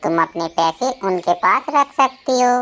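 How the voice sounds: A woman's cartoonish character voice at medium pitch, with very wide pitch swings and a moderate pace.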